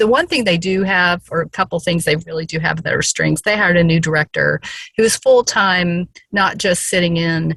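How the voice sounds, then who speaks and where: A woman speaks at a moderate pace in a Southern US accent, her pitch fairly low and her intonation fairly even, with a dry, close sound and no echo. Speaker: case presenter in a professional training session. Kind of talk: case presentation in an online training session.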